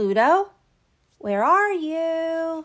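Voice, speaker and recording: In a put-on character voice, a woman squeaks at an extremely high pitch. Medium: read story.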